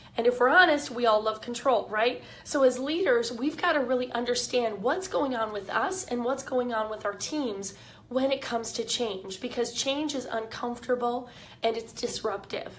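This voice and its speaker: Her pitch high with ordinary variation, a woman talks at a moderate pace. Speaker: leadership coach. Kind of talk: live video talk. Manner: casual, with fillers.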